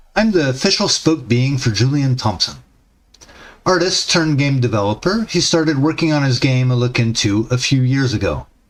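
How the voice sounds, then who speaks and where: A man at medium pitch uses lively intonation while keeping his loudness very even. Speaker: indie game developer streamer. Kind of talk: reading aloud a promo script. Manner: fast.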